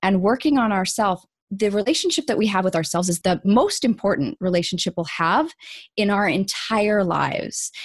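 A woman with an ordinary speaking voice and a Canadian accent, lively in intonation and at a fairly quick pace. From Canada. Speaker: coach and author. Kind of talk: interview. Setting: video call.

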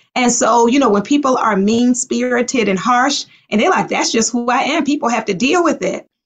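Here is a woman with a plain, everyday voice, fairly high in pitch with ordinary pitch variation. She goes at a moderate pace. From US, Baltimore. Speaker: psychologist. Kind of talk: interview.

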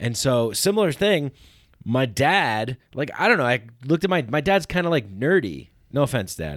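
With a General American accent, a man at medium pitch talks at a moderate pace with very wide pitch swings on a very clean recording with a silent background. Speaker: podcast host. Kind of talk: casual interview chat. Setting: studio. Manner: casual, upbeat.

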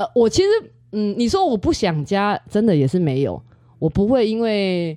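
The speaker has a Taiwanese accent and a dark, mellow tone. The pace is moderate, with very wide pitch swings. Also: woman, medium pitch for a woman. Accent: Taiwanese Mandarin, speaks Taiwanese Hokkien. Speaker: astrology student. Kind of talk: casual interview.

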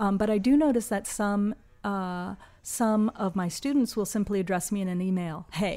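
A woman speaks at a medium pitch in a dark, mellow tone. Her pace is moderate and her pitch variation ordinary. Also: very clean recording, silent background. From US. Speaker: anthropology professor and author. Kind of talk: interview conversation.

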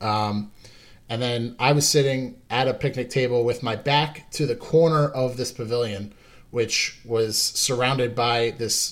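A man with an American accent speaks at a fairly slow pace in a medium pitch. His intonation is fairly even, with music in the background. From Long Island, New York. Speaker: paranormal investigator, Marine veteran. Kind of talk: casual interview chat. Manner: halting, many fillers and repeats.

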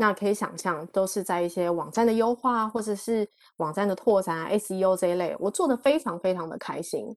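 A woman's unremarkable speaking voice, with ordinary pitch variation and hardly any pauses, over a quiet background. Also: medium pitch for a woman, fairly quick pace. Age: 40s. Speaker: e-commerce professional. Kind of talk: talk to online audience. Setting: online talk.

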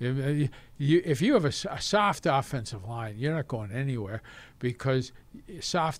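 In a very clean recording with a silent background, a man with an ordinary speaking voice talks at a moderate pace and medium pitch with lively intonation. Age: 60s. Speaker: retired football team executive. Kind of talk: casual interview.

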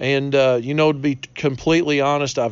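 Medium-pitched male speech in a relaxed tone, fairly quick, with fairly even intonation. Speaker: barbecue podcast host. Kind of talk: tutorial. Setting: outdoors on front porch. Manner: kept down, trying not to be loud; relaxed, casual.

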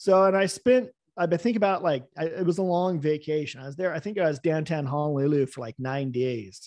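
This man has a normal speaking voice with an American accent and a fairly high pitch. He speaks at a fairly quick pace with lively intonation. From US West Coast. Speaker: business owner, former pilot and boat captain. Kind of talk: interview. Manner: casual, with fillers.

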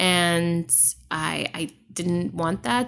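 In an American accent, a woman with a fairly low pitch speaks in an animated tone. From Trinidad and Tobago, then Boston from age 11-12. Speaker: writer, podcaster and event curator. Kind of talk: casual interview. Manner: animated, laughs often.

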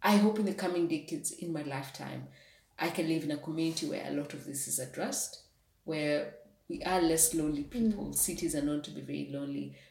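A woman talks at a very fast pace, her loudness swinging widely. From Kenya, outside Nairobi. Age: 20s. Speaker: coding school founder. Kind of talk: interview.

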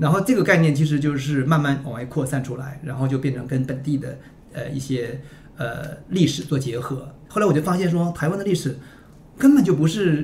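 This man has an unremarkable speaking voice, fairly high in pitch with ordinary pitch variation, and he talks at a fairly quick pace. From Northeast China (Liaoning). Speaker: publisher editor-in-chief. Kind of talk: casual podcast conversation. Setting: studio, in-person.

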